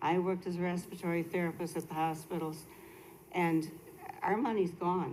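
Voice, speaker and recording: With an American accent, a woman speaks at a moderate pace in a fairly low pitch and a dark, mellow tone, her intonation monotone and flat, amid audible room echo. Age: 70s. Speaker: resident speaking at public comment. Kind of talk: public comment. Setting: city council meeting.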